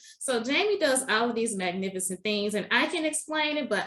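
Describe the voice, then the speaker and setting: With a slight Southern US accent, a woman speaks at a fairly high pitch, her voice making very wide pitch swings. Noticeable background noise is present. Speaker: podcast host. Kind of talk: interview podcast.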